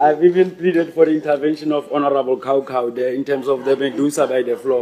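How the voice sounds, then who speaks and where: Against noticeable background noise, a man talks at a very fast pace. His pitch is fairly high. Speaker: member of parliament. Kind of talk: parliamentary committee questioning. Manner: halting.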